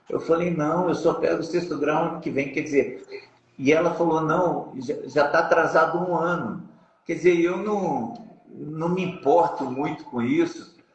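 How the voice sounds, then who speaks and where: A high-pitched man at a fairly slow pace, with ordinary pitch variation and audible room echo. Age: 60s. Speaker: jiu-jitsu master. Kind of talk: interview.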